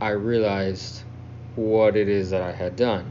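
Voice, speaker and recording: A man with an American accent talks at a very slow pace in a fairly low pitch. Room echo is audible. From South Texas. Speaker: listener telling own story. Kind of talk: self-recorded storytelling.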